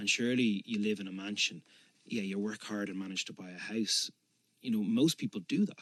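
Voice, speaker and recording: A man with a Dublin accent talks at a fairly quick pace in a fairly low pitch, with ordinary pitch variation. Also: dry, close sound with no echo. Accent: Dublin Irish. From Dublin, Ireland. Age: 30s. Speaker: politician. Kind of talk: interview answer.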